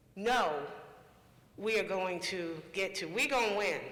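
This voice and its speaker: A man's raised, projected voice at a high pitch, with audible room echo. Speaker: panel moderator. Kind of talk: panel discussion moderation.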